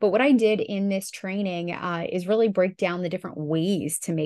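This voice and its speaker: A woman speaks with a plain, everyday voice at a medium pitch and fairly quick pace, showing ordinary pitch variation. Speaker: podcast co-host and online business manager. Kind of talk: casual business podcast chat. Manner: laughs often, friendly.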